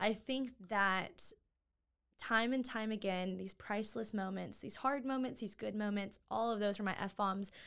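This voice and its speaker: Fairly slow and fairly even in intonation, a normal speaking voice comes through on a very clean recording with a silent background. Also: woman, medium pitch for a woman. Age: 20s. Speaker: nonprofit co-founder. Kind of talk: interview.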